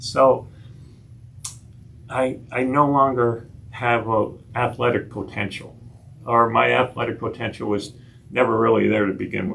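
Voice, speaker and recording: With fairly even intonation, a man talks at a moderate pace, pausing long and often, amid audible room echo. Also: medium pitch for a man. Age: 60s. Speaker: nurse practitioner giving a health talk. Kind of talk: lecture. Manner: halting, frequent repetitions.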